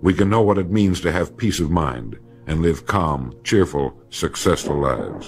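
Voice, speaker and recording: Noticeable background noise sits behind a man with a very deep, low pitch. He talks at a moderate pace with lively intonation. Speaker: motivational speaker. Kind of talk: motivational speech narration. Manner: measured, authoritative.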